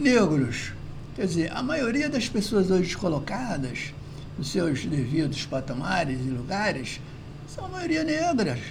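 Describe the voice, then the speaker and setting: With audible room echo and noticeable background noise, a man speaks high and fairly slowly, his pitch swinging very widely. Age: 70s. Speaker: philosophy commentator. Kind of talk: video monologue commentary. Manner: hesitant, repetitive fillers.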